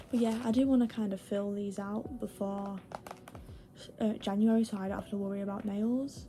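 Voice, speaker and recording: Against noticeable background noise, a woman talks in a monotone, flat intonation. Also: medium pitch for a woman, moderate pace. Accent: British. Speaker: vlogger. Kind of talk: casual vlog chat. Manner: rambling, filler-heavy.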